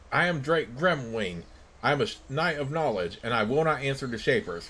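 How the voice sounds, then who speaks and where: In a put-on, growling character voice at a medium pitch, a man talks at a moderate pace with very wide pitch swings over clear background noise. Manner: hostile, haughty.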